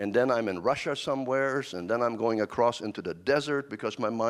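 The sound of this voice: The delivery is an unforced reading voice, its pitch varying in an ordinary way.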